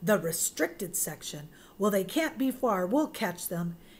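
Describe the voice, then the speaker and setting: A woman puts on a raspy character voice, medium in pitch with very wide pitch swings. She talks at a moderate pace over clear background noise. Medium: read story.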